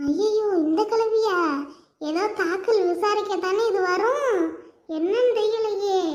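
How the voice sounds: A woman uses a cartoonish character voice, squeaky and extremely high in pitch. She speaks at a very slow pace.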